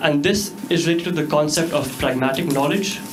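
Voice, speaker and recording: Room echo and noticeable background noise are audible. A man with an Indian accent talks at a fairly quick pace. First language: Hindi. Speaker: student presenter. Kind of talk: class presentation.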